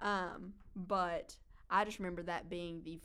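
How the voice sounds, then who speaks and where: Her pitch is fairly low and her intonation monotone and flat. The woman speaks with an Appalachian accent. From eastern Kentucky (Hazard). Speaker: student podcast co-host. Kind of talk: casual chat.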